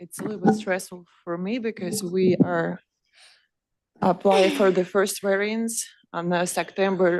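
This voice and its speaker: A woman talks at a fairly slow pace in a shaky voice. Her intonation is monotone and flat. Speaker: permit applicant. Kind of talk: public comment.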